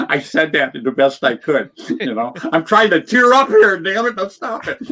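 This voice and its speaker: An animated, raised and projected voice with very wide pitch swings, a moderate pace, and noticeable background noise. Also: man, high pitch for a man. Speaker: paintball veteran. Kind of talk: casual chat.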